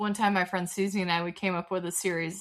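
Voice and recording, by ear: Over noticeable background noise, a woman with a Southern US accent talks at a very fast pace. Her fairly low pitch stays monotone, with flat intonation.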